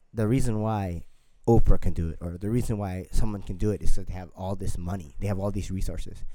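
Talking at a very fast pace, a man has a fairly low pitch and a dark, mellow tone. His loudness swings widely, and room echo is audible. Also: fairly even intonation. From Filipino. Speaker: podcast co-host, fitness coach. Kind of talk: casual chat.

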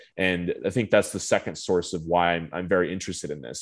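With a Southwestern US accent, a man speaks in a very deep, low voice. The background is quiet. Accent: general American, Southwest. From Phoenix, Arizona. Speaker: marine conservation policy advocate. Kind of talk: casual interview. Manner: fluent, filler-heavy.

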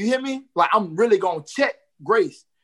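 The voice has a bright, sharp tone and an American accent. The pace is fairly quick. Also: man. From Jacksonville, Florida. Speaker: hip hop artist. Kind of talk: casual interview. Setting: video call.

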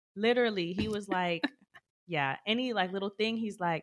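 The sound is dry and close, with no echo. A woman speaks at medium pitch with ordinary pitch variation. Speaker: podcast co-host. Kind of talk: casual chat.

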